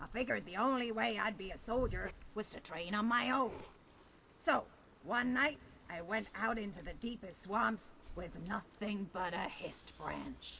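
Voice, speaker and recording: Put-on character voice, raspy and fairly high-pitched, at a moderate pace amid clear background noise. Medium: video game. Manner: dry, sardonic.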